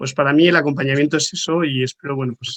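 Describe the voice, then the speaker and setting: A man speaks at a fairly quick pace in an ordinary speaking voice, his pitch medium. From Madrid, Spain. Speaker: pilgrim volunteer. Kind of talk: round-table talk.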